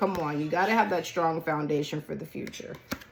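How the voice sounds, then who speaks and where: The voice belongs to a woman. Noticeable background noise can be heard. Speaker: tarot card reader. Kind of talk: tarot reading. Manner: animated.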